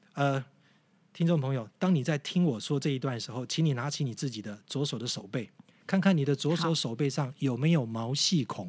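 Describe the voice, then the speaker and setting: Speaking fairly quickly, this man has a plain, everyday voice pitched fairly high, with ordinary variation in pitch. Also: very clean recording, silent background. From Taiwan, Yilan. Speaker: tour leader and guide. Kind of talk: casual interview chat, explaining history.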